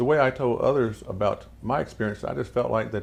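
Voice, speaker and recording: A normal speaking voice moves at a fairly quick pace with ordinary pitch variation. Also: man. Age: 60s. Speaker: pastor. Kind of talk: testimony.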